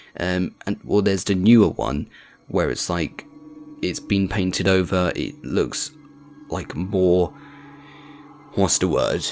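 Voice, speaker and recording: Music plays in the background as a man speaks at a very deep, low pitch with ordinary pitch variation. He goes at a very slow pace, with long, frequent pauses. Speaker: video game commentator. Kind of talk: gameplay commentary. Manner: casual, hesitant with fillers.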